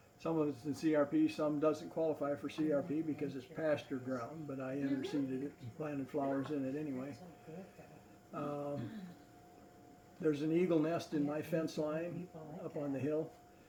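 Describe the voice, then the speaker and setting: Over noticeable background noise, a man with a fairly high pitch speaks at a moderate pace in a monotone, flat intonation, leaving long, frequent pauses. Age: 70s. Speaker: naturalist. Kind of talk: casual chat. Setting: public library talk.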